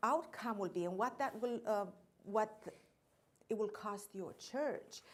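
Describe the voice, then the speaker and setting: A woman speaks with a slight non-native accent. Her voice is fairly high, with lively intonation. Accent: slight foreign. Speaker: insurance account executive. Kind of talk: training seminar presentation.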